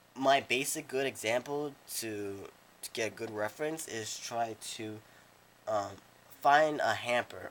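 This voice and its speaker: A man talks at a fairly slow pace and a medium pitch, with ordinary pitch variation. His loudness swings widely, and he leaves long, frequent pauses. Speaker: drawing tutor. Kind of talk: casual drawing tutorial narration. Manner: halting, repetitive speech with many restarts.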